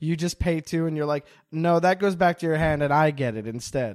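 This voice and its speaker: Fairly high in pitch, a man speaks with a Montreal accent. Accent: Montreal English, Canadian. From Montreal, Quebec. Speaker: comedian. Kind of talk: casual chat. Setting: video call from parents' basement.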